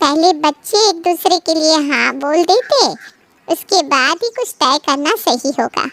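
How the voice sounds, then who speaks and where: A woman performs a squeaky, put-on character voice at an extremely high pitch with lively intonation. She speaks at a fairly slow pace, and the sound is dry and close with no echo. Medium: read story. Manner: cautious, courteous.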